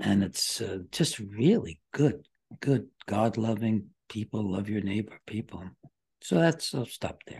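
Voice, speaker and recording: In an American accent, a man with a fairly low, somewhat breathy voice speaks at a fairly slow pace with ordinary pitch variation and big swings in loudness. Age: 80s+. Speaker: psychiatrist. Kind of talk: interview.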